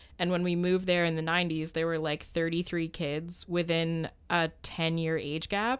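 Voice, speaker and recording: Speaking with a Canadian accent, a woman keeps a moderate pace with hardly any pauses, her fairly low voice monotone and flat. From Ottawa, Ontario, Canada. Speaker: law student podcast co-host. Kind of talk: casual chat. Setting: studio.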